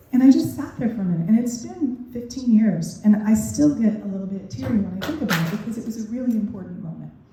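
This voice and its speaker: A woman with a fairly high pitch talks at a very fast pace with hardly any pauses and lively intonation. Her loudness swings widely, and background noise is noticeable. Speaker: parenting educator and keynote speaker. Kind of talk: keynote speech. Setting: stage with audience. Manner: conversational, uses fillers.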